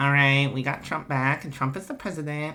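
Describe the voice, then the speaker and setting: Doing a put-on character voice, a man speaks fairly quickly in a whiny tone, with a fairly high pitch and fairly even intonation. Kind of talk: comic overacting. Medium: game stream. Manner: whiny, petulant.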